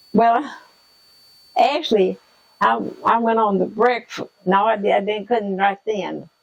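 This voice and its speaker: With a Southern US accent, a woman speaks at a fairly slow pace. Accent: Southern American. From Southern United States. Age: 80s+. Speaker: retired school lunchroom worker. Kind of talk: interview answer.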